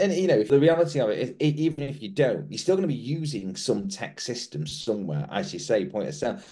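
A man's dark, mellow voice with vocal fry races at a very fast pace, swinging very widely in pitch with hardly any pauses. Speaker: podcast co-host. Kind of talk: interview.

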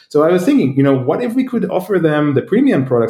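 Speaking very fast, a man with a dark, mellow tone sounds somewhat breathy and uses lively intonation. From Israel. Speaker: startup founder. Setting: remote call.

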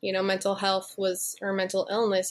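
A woman speaks with an American accent against a quiet background. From northern New Jersey, Bergen County. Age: 20s. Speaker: author and music journalist. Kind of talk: interview.

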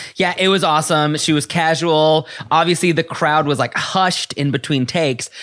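On a very clean recording with a silent background, a man with a plain, everyday voice speaks at a moderate pace and a fairly high pitch. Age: 30s. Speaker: podcast host. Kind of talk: casual chat.

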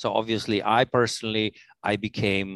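A man with a non-native accent, dry and close with no echo, against a quiet background. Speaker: corporate operations executive. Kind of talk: interview. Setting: remote recording. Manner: halting, many fillers.

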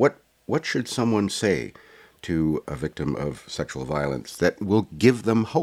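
A man with a fairly low pitch and vocal fry talks at a fairly slow pace, his pitch swinging very widely. The sound is dry and close, with no echo. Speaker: podcast host. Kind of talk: scripted intro and interview.

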